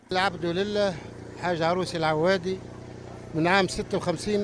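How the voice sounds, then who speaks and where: A man speaks at a moderate pace with a high pitch and fairly even intonation. Noticeable background noise runs underneath. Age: 70s. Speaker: knife sharpener. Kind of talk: interview.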